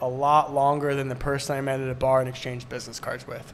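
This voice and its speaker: A man with an American accent rattles along at a very fast pace, with noticeable noise in the background. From Poland and US. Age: 20s. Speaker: real estate entrepreneur. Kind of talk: casual interview.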